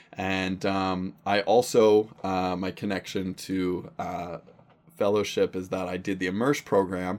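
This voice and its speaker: Very deep, low male voice with a Western Canadian accent, fairly slow and monotone with flat intonation. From Canada, Surrey, British Columbia. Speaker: pastor. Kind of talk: casual chat.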